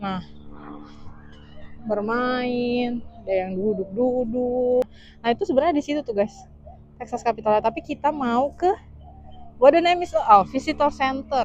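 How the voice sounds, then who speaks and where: At a fairly slow pace with long, frequent pauses, a woman with a high pitch speaks with lively intonation. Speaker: vlogger. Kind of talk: casual vlog narration. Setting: outdoors.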